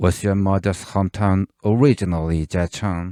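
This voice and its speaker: A man mumbles in a put-on character voice with a very deep, low pitch. He keeps a moderate pace and fairly even intonation. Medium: read story. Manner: hesitant, mumbling.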